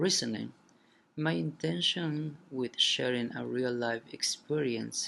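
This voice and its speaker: A man talks with a non-native accent. His pace is very slow. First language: not English. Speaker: college student. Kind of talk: reading aloud.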